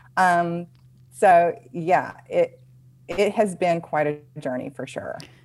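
A woman's fairly low-pitched voice at a very slow pace, with long, frequent pauses, big swings in loudness and ordinary pitch variation. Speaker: dance fitness business owner, former nurse. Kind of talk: casual interview chat.

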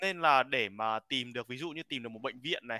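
The voice has a bright, sharp tone and moves at a fairly quick pace, with a dry, close sound and no echo. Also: man. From Vietnam. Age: 20s. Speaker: graduate student studying in the US. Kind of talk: casual chat.

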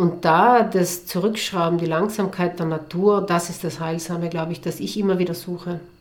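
The speaker goes at a moderate pace with hardly any pauses and monotone, flat intonation, over noticeable background noise. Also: woman, fairly low pitch for a woman. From South Tyrol, Italy. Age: 40s. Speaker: entrepreneur and beekeeper. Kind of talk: interview.

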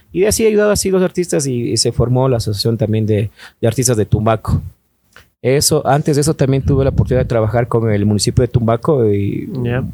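A man talks at a very fast pace with a dark, mellow tone and ordinary pitch variation. The sound is dry and close, with no echo. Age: 30s. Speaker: radio station owner. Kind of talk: casual chat.

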